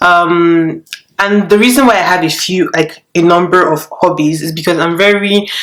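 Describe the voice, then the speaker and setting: A woman speaks with a Nigerian accent. Her intonation is fairly even. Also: fairly low pitch for a woman, moderate pace. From Nigeria, Lagos. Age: 20s. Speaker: YouTuber. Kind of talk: casual vlog chat. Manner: casual, halting with fillers.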